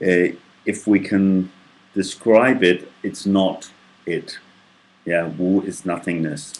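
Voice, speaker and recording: A man's very deep, low voice, very slow, with fairly even intonation. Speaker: tai chi student. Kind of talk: casual talk to camera. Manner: hesitant, many filler sounds.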